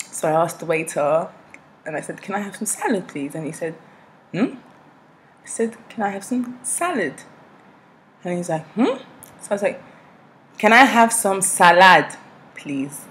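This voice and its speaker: Speaking in an English accent at a moderate pace, a woman with a medium pitch uses lively intonation, big swings in loudness and long, frequent pauses. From South East London, England. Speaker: vlogger. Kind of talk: vlog monologue. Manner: casual, switches between accents.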